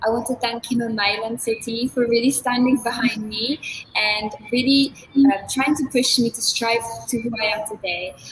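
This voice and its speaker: A woman talks with fairly even intonation at a moderate pace, her pitch fairly high, while noticeable background noise runs underneath. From Philippines. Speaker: beauty pageant candidate. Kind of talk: interview closing remarks.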